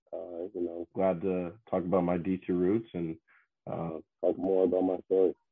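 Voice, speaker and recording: Monotone and flat in intonation, a man speaks at a moderate pace with a very deep, low pitch. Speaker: professional baseball pitcher. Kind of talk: interview.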